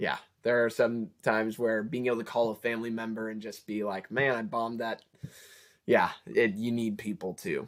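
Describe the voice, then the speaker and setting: A man talks at a moderate pace and a medium pitch. He uses fairly even intonation with long, frequent pauses. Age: 20s. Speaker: college student vlogger. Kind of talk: casual advice talk.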